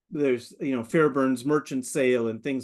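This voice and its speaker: Against a quiet background, the voice comes with an American accent. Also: man. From US Pacific Northwest, Seattle. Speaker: maritime history researcher and presenter. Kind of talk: webinar presentation. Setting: webinar. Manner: fast; animated.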